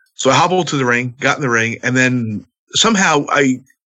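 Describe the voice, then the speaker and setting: A man speaks at a medium pitch in an ordinary speaking voice, his intonation lively. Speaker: pro wrestler. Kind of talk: casual chat.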